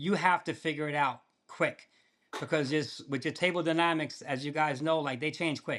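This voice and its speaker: On a very clean recording with a silent background, a man speaks in an ordinary speaking voice. His pitch is fairly high, his intonation fairly even and his pace moderate. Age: 60s. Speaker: poker player. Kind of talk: casual chat. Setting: podcast interview.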